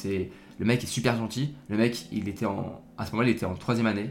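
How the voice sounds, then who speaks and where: This man talks at a fairly low pitch. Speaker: podcast host, student. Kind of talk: casual solo talk. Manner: halting, many fillers; relaxed.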